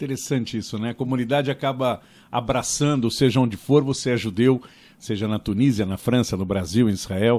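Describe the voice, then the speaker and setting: Fairly quickly, a man speaks in an unremarkable speaking voice. Medium in pitch, his voice varies in an ordinary way. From Brazil (São Paulo, Bom Retiro). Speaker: podcast host. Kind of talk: interview conversation.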